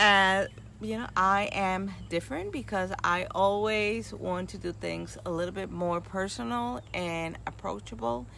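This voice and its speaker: A fairly slow pace with hardly any pauses and audible room echo. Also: woman. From New York and Puerto Rico (moved at eight). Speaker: nurse and retreat host. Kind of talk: casual talk to a group.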